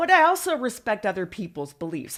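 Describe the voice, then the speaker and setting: A woman with an American accent speaks in a plain, everyday voice at a fairly quick pace with ordinary pitch variation, on a very clean recording with a silent background. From Northern California, San Francisco Bay area. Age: 50s. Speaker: former adult film performer and TV personality. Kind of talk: casual interview chat.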